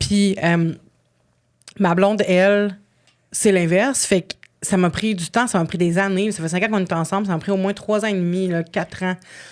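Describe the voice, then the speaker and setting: A woman with a Quebec accent, fairly even intonation and long, frequent pauses, in a very clean recording over a silent background. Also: medium pitch for a woman. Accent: Québécois French. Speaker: podcast guest. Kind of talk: casual chat. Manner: fast.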